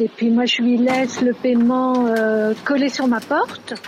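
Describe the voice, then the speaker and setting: Amid noticeable background noise, a woman speaks in a high pitch at a very slow pace. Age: 60s. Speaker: retired French teacher. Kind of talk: interview.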